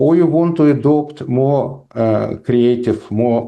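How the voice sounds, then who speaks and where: With a Russian accent and a dark, mellow tone, a man speaks with ordinary pitch variation against a quiet background. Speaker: professor. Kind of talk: lecture with Q&A. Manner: halting, many fillers.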